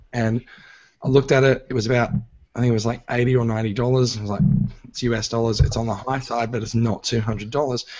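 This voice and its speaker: A man with an Australian accent speaks at a moderate pace and medium pitch, his intonation monotone and flat. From Australia, Sydney. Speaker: podcast host. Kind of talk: casual chat. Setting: live stream recording.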